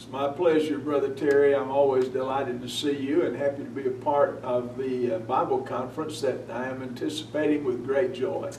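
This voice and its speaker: A man with a Southern US accent talks at a fairly quick pace in a fairly high pitch, with fairly even intonation and big swings in loudness. Audible room echo and noticeable background noise surround his voice. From North Carolina (Hickory area). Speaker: newspaper editor and preacher. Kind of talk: interview. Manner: hesitant with frequent uh.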